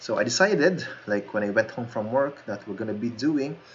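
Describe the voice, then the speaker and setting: With lively intonation, a man talks at a moderate pace and a medium pitch. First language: not English. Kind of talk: casual game tour narration. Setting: basic home microphone.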